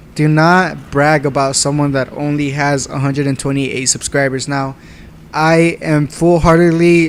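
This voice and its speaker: A man with a fairly high pitch speaks at a moderate pace in monotone, flat intonation, with noticeable background noise. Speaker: gaming YouTuber. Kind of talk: casual commentary vlog reading comments.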